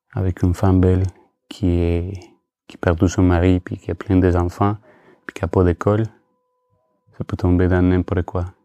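In a dry, close sound with no echo, a man with a Spanish accent speaks at a very deep, low pitch in a flat monotone. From Colombia. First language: Spanish (speaking French). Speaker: photographer. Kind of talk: casual chat. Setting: under a duvet. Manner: halting.

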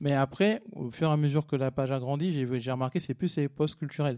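Speaking in a normal speaking voice, a man talks at a moderate pace with medium pitch and ordinary pitch variation. The sound is dry and close with no echo, over a quiet background. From Paris region, France (Cergy-Pontoise). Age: 30s. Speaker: content creator. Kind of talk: casual chat.

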